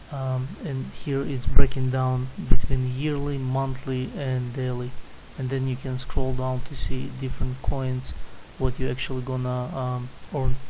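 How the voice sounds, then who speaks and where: A man with a non-native accent speaks at a fairly slow pace and medium pitch in a monotone, flat intonation, his loudness swinging widely amid noticeable background noise and audible room echo. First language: not English. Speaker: crypto YouTuber. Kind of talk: screen-share tutorial. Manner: halting, many fillers.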